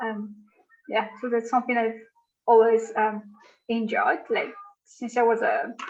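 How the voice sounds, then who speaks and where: The speaker talks with a Malagasy accent. The pace is moderate. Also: woman. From Madagascar. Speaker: conservation researcher. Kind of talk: interview. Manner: hesitant, many fillers.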